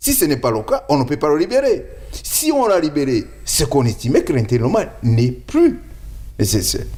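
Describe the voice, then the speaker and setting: A man at a moderate pace. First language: not French (speaking French). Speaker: lawyer. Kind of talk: interview.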